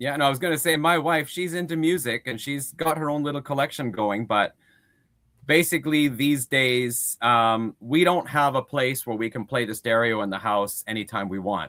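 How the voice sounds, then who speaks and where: A man's medium-pitched voice with a bright, sharp tone, a moderate pace and a very clean recording with a silent background. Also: ordinary pitch variation. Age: 50s. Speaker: music collector, guest. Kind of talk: casual chat.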